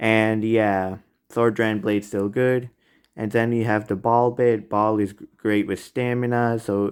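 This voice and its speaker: Speaking at a fairly slow pace, a man with a fairly low pitch keeps a monotone, flat intonation. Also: very clean recording, silent background. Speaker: toy review youtuber. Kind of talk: product ranking commentary. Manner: halting, stuttering.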